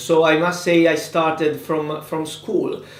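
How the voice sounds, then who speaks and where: A man with an Italian accent at a very slow pace, with audible room echo and noticeable background noise. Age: 20s. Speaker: politician. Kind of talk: interview. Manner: halting.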